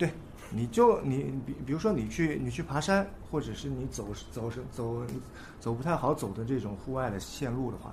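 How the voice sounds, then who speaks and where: There is audible room echo as a man talks at a moderate pace. He leaves long, frequent pauses. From China, Nanjing. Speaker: skateboarder. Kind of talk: casual chat.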